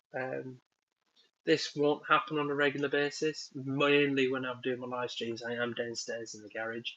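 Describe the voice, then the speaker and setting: Speaking with a northern English accent, a man uses a medium pitch, ordinary pitch variation and a moderate pace. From northern England. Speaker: woodworking YouTuber. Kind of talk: live stream chat. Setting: at home, indoors, live stream. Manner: casual, hesitant with many ums.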